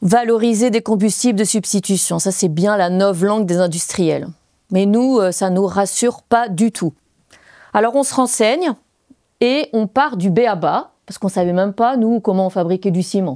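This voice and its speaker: A woman with a Belgian accent, a dark, mellow tone, medium pitch, ordinary pitch variation and a moderate pace. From Belgium. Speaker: former French teacher and eco-building activist. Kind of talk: stage talk performance.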